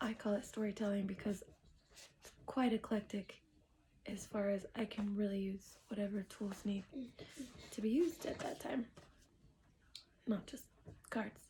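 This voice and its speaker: A woman's medium-pitched, somewhat breathy voice with a dark, mellow tone, fairly even intonation and a fairly slow pace. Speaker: tarot reader. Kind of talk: casual tarot reading livestream. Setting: at home. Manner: soft-spoken, sometimes quiet.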